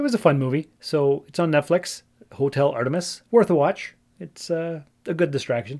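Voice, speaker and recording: A man talks at a moderate pace in a normal speaking voice, with a Canadian accent. His pitch is fairly high, with ordinary pitch variation. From Ontario, Canada. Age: 40s. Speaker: podcast host. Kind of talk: casual solo monologue.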